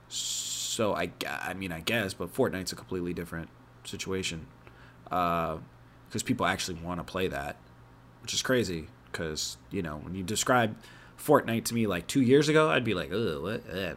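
Using a very deep, low pitch, a man speaks with lively intonation. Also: moderate pace. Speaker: podcast host. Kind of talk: casual chat.

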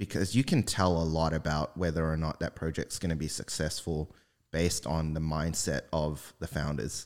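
With a New Zealand accent, a man speaks at a moderate pace and a very deep, low pitch on a very clean recording with a silent background. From New Zealand, Auckland. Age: 20s. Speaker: web3 engineer. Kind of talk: casual chat.

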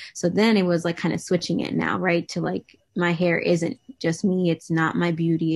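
A woman with a normal speaking voice, fairly low pitch, fairly even intonation and a fairly quick pace. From New England, US. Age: 20s. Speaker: social media advocate. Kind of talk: interview. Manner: casual, many fillers.

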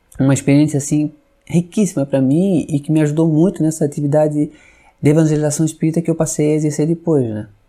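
On a very clean recording with a silent background, a man with a fairly high, dark, mellow voice speaks very fast with fairly even intonation. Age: 50s. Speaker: Spiritist religious educator, civil servant. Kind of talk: podcast interview.

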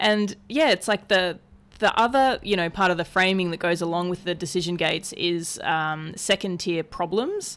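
A woman speaks in an ordinary speaking voice at medium pitch and moderate pace, with ordinary pitch variation. The recording is very clean, with a silent background. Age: 30s. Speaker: ocean rower. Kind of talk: casual chat. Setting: in a living room.

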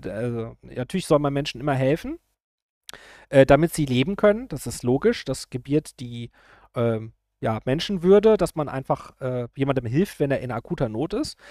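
The recording is very clean, with a silent background and a dry, close sound with no echo. The speech moves at a moderate pace. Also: man. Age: 40s. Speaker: YouTuber. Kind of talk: political commentary monologue. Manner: hesitant, many filler sounds.

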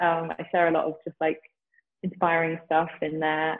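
Over music in the background, a woman with a London accent speaks in a fairly low pitch. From England, Southeast London. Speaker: yoga teacher. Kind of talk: interview conversation. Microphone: poor connection, overlapping audio.

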